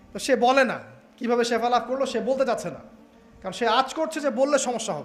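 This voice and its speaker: Music plays in the background as a man speaks at an extremely high pitch. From Bangladesh. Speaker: Islamic preacher. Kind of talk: religious sermon.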